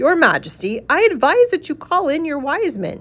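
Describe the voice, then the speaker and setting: A squeaky, high-pitched put-on character voice at a moderate pace. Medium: read story.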